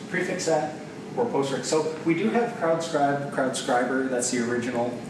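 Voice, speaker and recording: This man's fairly high voice carries audible room echo, with noticeable background noise behind him. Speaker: software developer. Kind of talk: casual video explainer. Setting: office of a client company. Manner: hesitant, many fillers.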